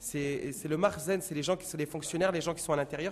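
His pitch varies in an ordinary way. The speaker is a man. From Paris, France. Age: 30s. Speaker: engineer and guide. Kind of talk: field interview. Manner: halting.

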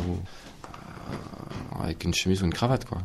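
Here is a man with a very deep, low pitch. His voice is somewhat breathy. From Ariège, southern France. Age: 30s. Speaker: builder. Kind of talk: testimony.

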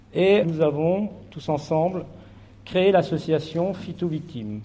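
A dark, mellow tone with ordinary pitch variation. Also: man. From France, Charente. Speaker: farmer and association founder. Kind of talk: speech to an assembly.

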